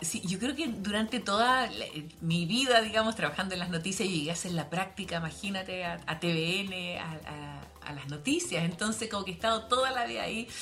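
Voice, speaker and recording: A woman in a Chilean accent, fairly quick with hardly any pauses, lively intonation and big swings in loudness, over noticeable background noise and audible room echo. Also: medium pitch for a woman. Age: 50s. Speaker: news journalist. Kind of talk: casual chat.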